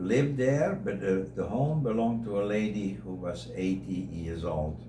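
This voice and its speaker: Speaking with a Dutch accent, a man uses very wide pitch swings around a fairly low pitch at a moderate pace. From Netherlands. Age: 80s+. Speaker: interviewee sharing life story. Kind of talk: radio interview.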